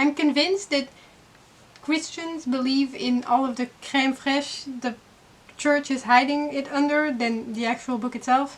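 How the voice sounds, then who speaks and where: A woman with a high pitch speaks with a non-native accent. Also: fairly slow pace. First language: not English. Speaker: YouTuber, book reviewer. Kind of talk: casual commentary review. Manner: animated.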